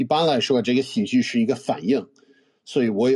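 This man talks at a fairly quick clip in a medium pitch, his dark, mellow tone carrying ordinary rises and falls. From United States. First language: English (speaking Chinese). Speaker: comedian. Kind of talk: casual interview. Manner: halting, with fillers.

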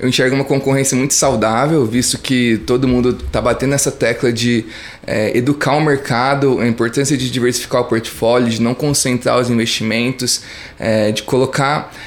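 A man's fairly even intonation sits over music playing in the background. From interior of São Paulo state, Brazil. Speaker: startup founder. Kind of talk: interview.

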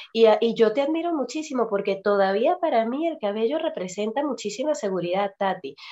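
Her intonation is lively and her pitch fairly high, set in a dark, mellow tone. The woman talks at a fairly quick pace with hardly any pauses. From Venezuela. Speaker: podcast host and nutrition coach. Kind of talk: casual chat.

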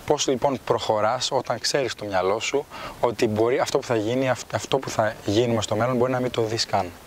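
A man with an ordinary speaking voice talks at a moderate pace, his pitch medium and his intonation fairly even. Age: 20s. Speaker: podcast host. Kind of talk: interview.

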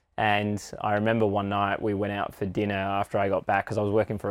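In a very clean recording with a silent background, a man with an Australian accent talks very fast at a fairly low pitch in a flat, monotone delivery. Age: 30s. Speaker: breathwork and ice bath facilitator. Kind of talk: personal story interview.

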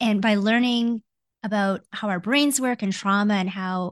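A woman's plain, everyday voice with a Canadian accent, medium pitch and fairly even intonation, over a quiet background. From Canada (born Hong Kong, came as baby). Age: 40s. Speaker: executive coach. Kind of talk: casual interview.

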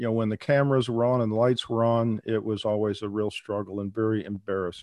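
A man with an ordinary speaking voice at medium pitch and moderate pace, in a quiet background. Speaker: veterinarian who stutters, advocate. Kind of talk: casual interview conversation. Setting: remote call.

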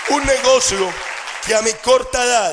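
Crowd noise sits in the background as a man speaks with ordinary pitch variation. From Colombia. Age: 20s. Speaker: network marketing entrepreneur. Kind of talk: motivational seminar talk.

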